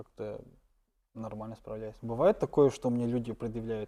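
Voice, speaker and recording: A man's dark, mellow tone in a monotone, flat delivery. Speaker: stand-up comedian. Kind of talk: interview.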